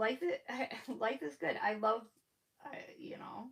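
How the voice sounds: A fairly bright tone with vocal fry, at a moderate pace. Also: woman.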